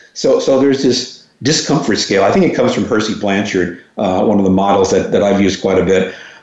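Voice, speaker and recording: Amid noticeable background noise and audible room echo, a man with an American accent speaks very fast at a fairly low pitch. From New York, Long Island. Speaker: educator and consultant. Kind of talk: interview.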